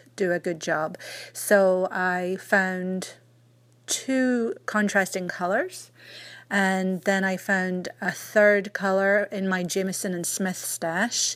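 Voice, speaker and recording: In a very clean recording with a silent background, a woman speaks with a Scottish accent. Her pace is very slow. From Scotland. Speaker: knitting podcaster. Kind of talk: recorded message. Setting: recorded message from New Hampshire, US.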